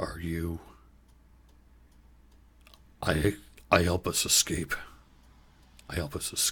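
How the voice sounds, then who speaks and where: A man's put-on character voice, very deep and low, at a fairly slow pace with long, frequent pauses. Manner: put-on monster voice.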